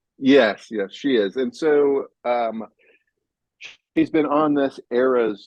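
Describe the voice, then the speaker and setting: In an American accent, a man speaks at a very slow pace with medium pitch and fairly even intonation. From California. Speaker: author. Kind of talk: casual chat. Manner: halting, many fillers.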